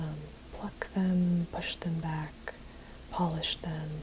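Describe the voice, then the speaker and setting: Over noticeable background noise, a woman talks at a very slow pace with a monotone, flat intonation. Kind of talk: ASMR, soft-spoken talk to camera while painting nails. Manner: soft-spoken.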